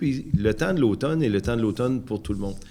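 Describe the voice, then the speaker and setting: A man with a Quebec accent and ordinary pitch variation. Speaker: municipal council member. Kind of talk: public meeting discussion.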